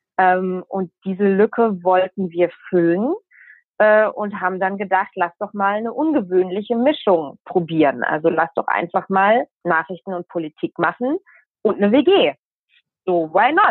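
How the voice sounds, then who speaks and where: An unremarkable speaking voice with lively intonation at a fairly slow pace. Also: woman, medium pitch for a woman. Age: 20s. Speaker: journalist. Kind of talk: interview.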